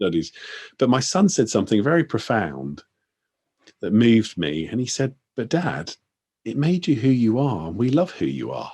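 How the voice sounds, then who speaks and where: Long, frequent pauses break up a man's speech, his dark, mellow tone carrying vocal fry and very wide pitch swings. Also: medium pitch for a man, moderate pace. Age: 50s. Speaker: interviewer. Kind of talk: interview. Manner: halting.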